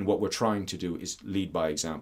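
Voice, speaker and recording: A man with a fairly low pitch and an Irish accent. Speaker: landowner and rewilding advocate. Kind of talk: interview.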